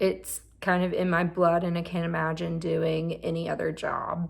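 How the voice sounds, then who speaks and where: A woman's medium-pitched voice in a strong Southern US accent. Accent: thick southern US. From Mississippi. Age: 30s. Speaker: therapist and vlogger. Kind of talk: personal vlog monologue. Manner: halting.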